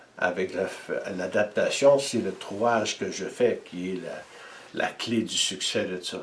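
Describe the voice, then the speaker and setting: Behind this man, background noise is noticeable. He talks very slowly. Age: 70s. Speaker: energy healer and inventor. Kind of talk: interview.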